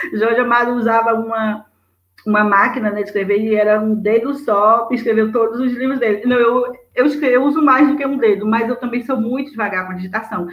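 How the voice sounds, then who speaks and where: At a fairly quick pace, a woman speaks in a fairly high-pitched voice. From Brazil, interior of Bahia (Juazeiro). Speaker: writer. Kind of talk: interview. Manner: fast; animated.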